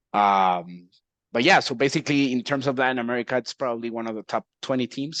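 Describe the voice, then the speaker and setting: Against a quiet background, a man with a Mexican accent talks very fast at a medium pitch with ordinary pitch variation, in a dry, close sound with no echo. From Mexico. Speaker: esports team executive. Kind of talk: casual chat.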